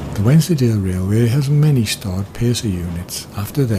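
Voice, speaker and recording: Amid noticeable background noise, a man with a British accent speaks at a moderate pace in a medium pitch with ordinary pitch variation. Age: 60s. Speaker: railway enthusiast. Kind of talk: scripted narration. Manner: formal.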